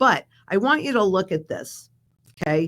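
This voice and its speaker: This woman talks in an American accent, her voice full of vocal fry. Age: 70s. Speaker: precious metals expert. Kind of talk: interview.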